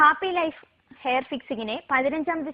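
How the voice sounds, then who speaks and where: A woman's voice with ordinary pitch variation. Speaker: news reader. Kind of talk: TV news reading.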